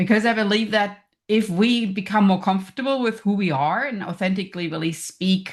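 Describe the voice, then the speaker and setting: A woman with a German accent, at a moderate pace and with ordinary pitch variation. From Germany. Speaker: professor and business coach. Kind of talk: podcast interview. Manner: energetic.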